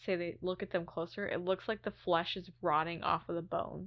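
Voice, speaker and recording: It's a woman with a plain, everyday voice. She talks at medium pitch and a moderate pace. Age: 30s. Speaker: podcast co-host. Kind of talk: casual chat.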